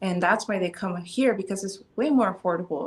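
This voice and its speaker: A woman speaks in a normal speaking voice at a fairly quick pace. Her pitch is medium, with ordinary variation. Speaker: CBD store co-owner and clinical psychologist. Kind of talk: casual interview chat.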